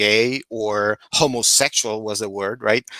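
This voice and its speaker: Recorded very cleanly against a silent background, a man with a Puerto Rican accent has a bright, sharp tone in a dry, close sound with no echo. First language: Spanish. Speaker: social justice activist. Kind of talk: panel discussion.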